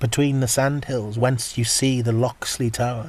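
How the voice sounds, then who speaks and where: A man talks at a medium pitch. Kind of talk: poetry reading.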